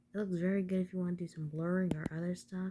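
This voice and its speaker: A soft-spoken woman talks with a somewhat breathy, dark, mellow tone at a fairly low pitch. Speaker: tutorial maker. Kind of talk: tutorial.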